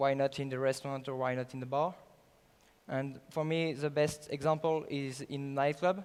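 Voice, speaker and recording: In a French accent, a man talks at a moderate pace with a fairly high pitch and monotone, flat intonation. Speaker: startup founder. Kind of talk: sales pitch. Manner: halting.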